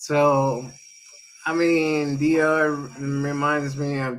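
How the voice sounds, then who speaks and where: With a Spanish accent, a man speaks in a fairly high, monotone voice with flat intonation. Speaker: crypto streamer. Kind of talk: interview on a live stream. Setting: live stream.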